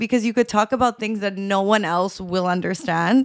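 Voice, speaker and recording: A woman with an ordinary speaking voice, lively intonation and a medium pitch speaks on a very clean recording with a silent background. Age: 20s. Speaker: podcast co-host. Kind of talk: casual chat.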